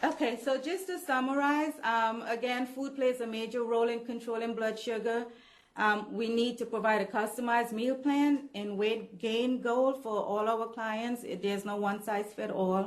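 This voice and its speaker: A woman talks at a moderate pace with hardly any pauses. She has an unremarkable speaking voice with a fairly high pitch. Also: ordinary pitch variation. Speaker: nutrition trainer presenting to staff. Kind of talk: staff training presentation.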